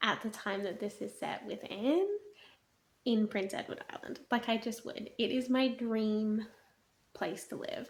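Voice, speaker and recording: A woman speaks quietly at a fairly slow pace in an animated tone, her pitch fairly high. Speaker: book reviewer vlogger. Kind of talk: casual video monologue. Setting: at home at night. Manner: quiet, hushed.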